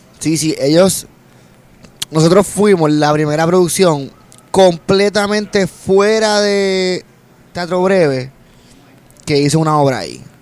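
Speaking at a very slow pace with long, frequent pauses, a man with a high pitch uses ordinary pitch variation. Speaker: comedian and actor. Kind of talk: casual chat. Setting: restaurant.

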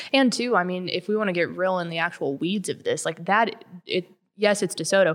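A woman speaks at a fairly quick pace with a Texan accent. Her pitch is medium, with ordinary variation. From Texas, Llano. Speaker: sports magazine writer. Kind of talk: casual interview. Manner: animated.

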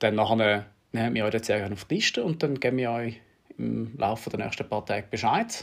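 A man's medium-pitched voice with vocal fry, fairly even intonation and a fairly quick pace. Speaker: triathlon coach and podcast host. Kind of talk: casual chat.

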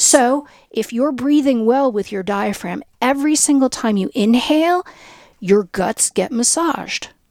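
Dry and close with no echo, a woman's voice is high in pitch. She speaks at a fairly slow pace with lively intonation. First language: Spanish. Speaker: clinical psychologist and breathing teacher. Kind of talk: interview conversation.

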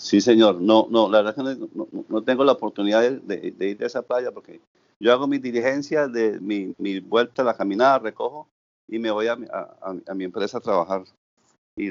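Speaking at a moderate pace, the man keeps a medium pitch and ordinary pitch variation. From Santander, Colombia. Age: 60s. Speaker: volunteer beach cleaner. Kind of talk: interview. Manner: halting.

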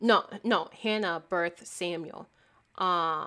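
On a very clean recording with a silent background, a woman speaks. Her tone is bright and sharp, her intonation fairly even. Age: 20s. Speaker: podcast host. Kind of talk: solo faith podcast monologue. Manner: casual, conversational with fillers.

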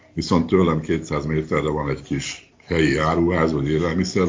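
A man speaks with vocal fry. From Hungary. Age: 60s. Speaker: retiree living abroad. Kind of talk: interview. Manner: halting.

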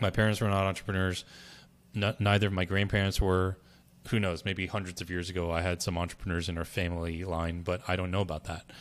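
A man speaks very fast in a very deep, low voice with monotone, flat intonation. The recording is very clean, with a silent background. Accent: American. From US, Berkeley, California. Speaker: brand strategist. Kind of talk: interview.

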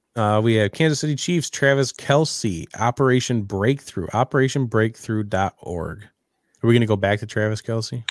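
An unremarkable speaking voice at a moderate pace with ordinary pitch variation and hardly any pauses, on a very clean recording with a silent background. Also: man, medium pitch for a man. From Western New York. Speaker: sports podcast host. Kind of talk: casual chat. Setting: live video stream with chat.

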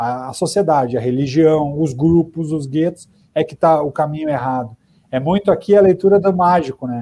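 A man's dark, mellow, fairly high voice with ordinary pitch variation and a moderate pace. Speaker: journalist, podcast co-host. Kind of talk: casual chat.

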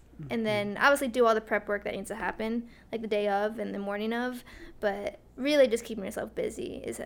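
A woman speaking at a fairly quick pace. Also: big swings in loudness. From Glastonbury, Connecticut. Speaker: track and cross-country coach. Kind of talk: casual chat.

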